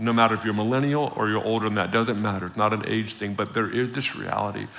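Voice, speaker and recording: Over noticeable background noise, a man with a medium pitch speaks in an animated tone. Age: 40s. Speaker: visiting preacher. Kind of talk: sermon. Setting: church with congregation.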